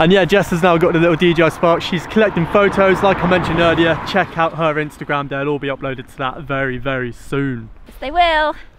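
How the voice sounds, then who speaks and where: A man speaks with hardly any pauses in a dry sound with no echo, over light background noise. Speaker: drone vlogger. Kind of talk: casual vlog chat. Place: open country. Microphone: phone near.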